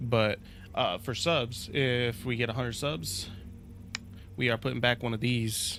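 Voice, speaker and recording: A man talks at a moderate pace. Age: 20s. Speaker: gaming streamer. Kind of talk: casual live stream chat. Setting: live stream. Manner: casual, slangy.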